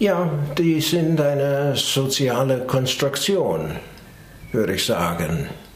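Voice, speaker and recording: Speaking very slowly with an English accent, a man uses a fairly high pitch and very wide pitch swings amid audible room echo and noticeable background noise. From US, New York. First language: English (speaking German). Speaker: psychologist. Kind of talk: interview. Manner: hesitant, many fillers.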